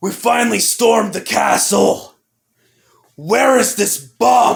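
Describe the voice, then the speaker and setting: A man's raspy, put-on character voice, high-pitched for a man, at a fairly slow pace. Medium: audio drama. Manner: determined, defiant.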